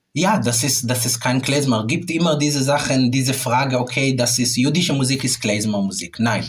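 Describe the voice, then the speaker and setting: With an Israeli accent, a man speaks at a medium pitch and a moderate pace, with ordinary pitch variation and hardly any pauses. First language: Hebrew (speaking German). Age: 30s. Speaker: classical clarinetist. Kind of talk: interview. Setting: music rehearsal room. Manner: halting.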